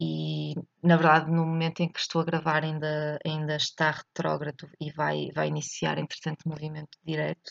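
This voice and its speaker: A woman talks at a moderate pace in a European Portuguese accent, with hardly any pauses. The sound is dry and close, with no echo. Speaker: astrology podcaster. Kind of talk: solo monologue reflection. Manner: halting, many fillers.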